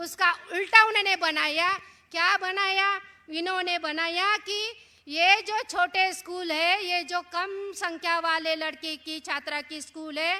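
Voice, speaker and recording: A woman projects a raised voice at an extremely high pitch, her tone bright and sharp. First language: Marathi (speaking Hindi). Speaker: education activist speaker. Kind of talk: public speech on education policy. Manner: animated, rhetorical.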